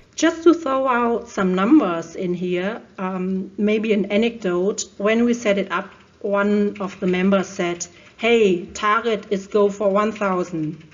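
Speaking with a German accent at a very slow pace, the voice shows ordinary pitch variation. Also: woman, medium pitch for a woman. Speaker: procurement digitalization expert. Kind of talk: interview.

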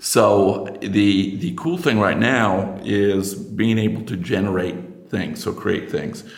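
Over noticeable background noise and audible room echo, a man with an American accent speaks at a very slow pace with a fairly low pitch. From United States. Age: 50s. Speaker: industrial researcher and inventor. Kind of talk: casual interview chat.

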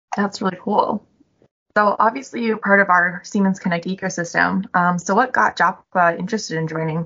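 A woman with an American accent speaks in a plain, everyday voice at a fairly quick pace. Her pitch is medium with ordinary variation. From Chicago. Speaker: corporate podcast host. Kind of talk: interview.

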